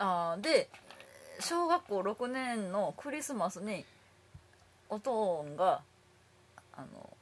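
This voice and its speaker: A woman speaks in a Kansai accent at a very slow pace, with long, frequent pauses. Her medium pitch makes very wide swings, and her loudness swings widely too. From Japan, Kobe. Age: 30s. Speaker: comedian. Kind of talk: casual chat.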